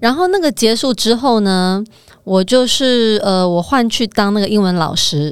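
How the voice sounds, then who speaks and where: This is a normal speaking voice with lively intonation, a fairly slow pace, and very even loudness. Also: woman, fairly high pitch for a woman. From Taiwan. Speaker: finance professional, former model. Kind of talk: casual chat.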